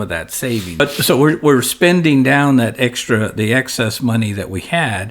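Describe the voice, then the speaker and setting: Noticeable background noise surrounds a man speaking at a moderate pace, with medium pitch and ordinary pitch variation. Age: 60s. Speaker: financial advisor. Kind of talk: podcast discussion. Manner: conversational, with frequent self-corrections.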